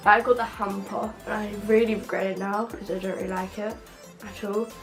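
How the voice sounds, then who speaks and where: A woman speaks at a fairly high pitch with fairly even intonation. Noticeable background noise is present. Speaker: beauty vlogger. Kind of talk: casual vlog talk to camera.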